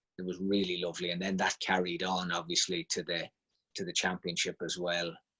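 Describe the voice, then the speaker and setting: Here a man talks with a slight Monaghan accent in a monotone, flat tone. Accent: trace of Monaghan. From Ireland, Monaghan town. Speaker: football team manager. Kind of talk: casual interview.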